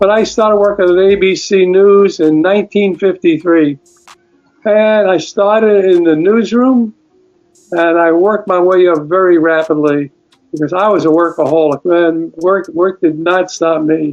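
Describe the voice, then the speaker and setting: A man with a New York accent speaks at a high pitch and moderate pace, with very even loudness. His intonation is fairly even, and music plays in the background. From New York City, Brooklyn. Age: 80s+. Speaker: retired television news film editor. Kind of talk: interview, life story.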